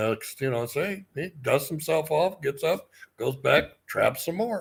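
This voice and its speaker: A man talks at a moderate pace with a fairly high pitch and very wide pitch swings. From US Midwest. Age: 60s. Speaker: book publisher. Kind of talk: casual chat.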